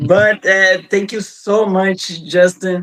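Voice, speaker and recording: The delivery is very slow and monotone, with flat intonation. The sound is dry and close, with no echo. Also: man. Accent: Portuguese. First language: Portuguese. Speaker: interviewer. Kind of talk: interview. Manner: halting.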